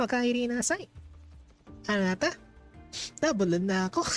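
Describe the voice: A put-on character voice, fairly high in pitch, at a moderate pace over faint music in the background.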